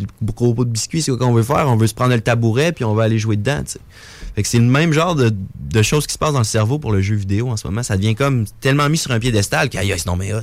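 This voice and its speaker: A man's medium-pitched voice at a very fast clip. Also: ordinary pitch variation. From Quebec City. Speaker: entrepreneur running youth gaming coaching programs. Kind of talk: interview.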